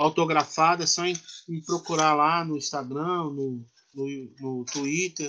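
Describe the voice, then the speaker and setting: With fairly even intonation and a fairly high pitch, a man talks in an unremarkable speaking voice. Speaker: professor and writer. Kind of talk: interview conversation.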